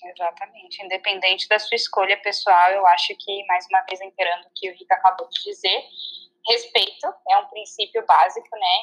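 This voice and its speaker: Medium-pitched woman's speech at a moderate pace, with fairly even intonation. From southern Brazil (Santa Catarina). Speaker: vegan guest. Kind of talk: casual chat. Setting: remote call.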